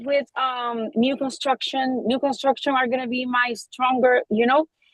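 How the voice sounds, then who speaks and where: A woman speaks with a high voice in a Spanish accent. Her pace is fairly slow. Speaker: real estate agent. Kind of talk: group discussion. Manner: halting.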